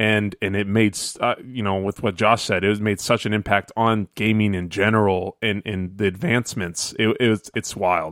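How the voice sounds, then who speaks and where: A man with an ordinary speaking voice talks at a moderate pace and fairly low pitch, his intonation fairly even, with hardly any pauses. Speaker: guest co-host of gaming podcast. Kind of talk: casual chat. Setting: remote call from vacation.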